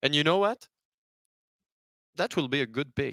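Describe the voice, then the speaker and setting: A man with a Quebec accent speaks at a moderate pace with lively intonation and a bright, sharp tone, in a dry, close sound with no echo. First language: French. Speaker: hockey journalist. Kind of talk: podcast discussion. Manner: halting.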